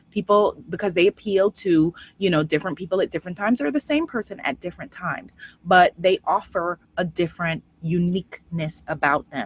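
The voice is somewhat breathy and animated in tone, moving at a fairly quick pace with lively intonation. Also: woman. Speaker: life coach. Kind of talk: online course lecture.

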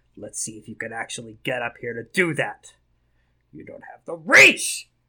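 A man puts on a raspy character voice at medium pitch. His loudness swings widely. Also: moderate pace. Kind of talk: taunting. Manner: sneering.

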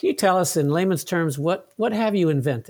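In a very clean recording with a silent background, a man speaks at a fairly quick pace in a normal speaking voice. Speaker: podcast host. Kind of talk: interview.

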